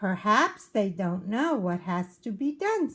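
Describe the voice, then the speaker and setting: A woman puts on a character voice at a medium pitch, delivering it at a fairly slow pace. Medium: read story. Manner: calm, knowing.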